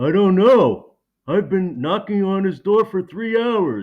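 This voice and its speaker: A cartoonish character voice at a middle pitch talks at a fairly slow pace. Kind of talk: cartoon impression. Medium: read story.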